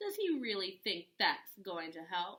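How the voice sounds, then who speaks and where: A female-sounding voice does a put-on character voice at a middle pitch and a fairly slow pace. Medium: read story. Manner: smooth, sly.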